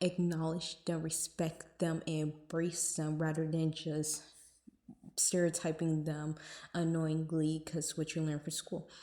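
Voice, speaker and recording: A woman with fairly low pitch and a dark, mellow tone. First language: Spanish and English. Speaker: lifestyle vlogger. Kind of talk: casual vlog talk. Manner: casual, many fillers.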